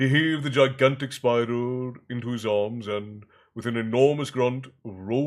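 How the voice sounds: The clip features a natural reading voice. Its pitch stays fairly even throughout.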